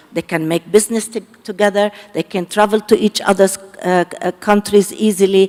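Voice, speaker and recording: The sound is dry and close, with no echo. Noticeable background noise is present. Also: woman. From Lebanon. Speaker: panelist. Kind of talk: panel discussion.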